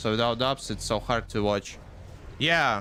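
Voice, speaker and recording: A man with a non-native accent talks in a bright, sharp tone. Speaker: gaming streamer. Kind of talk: casual live stream chat. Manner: halting, many fillers.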